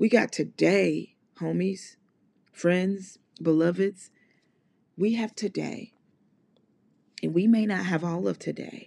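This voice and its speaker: A woman with an American accent and a dark, mellow tone, medium in pitch, fairly even in intonation, at a very slow pace with long, frequent pauses. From US South, Mississippi. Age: 30s. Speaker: podcast host. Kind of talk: motivational solo monologue. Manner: casual, conversational.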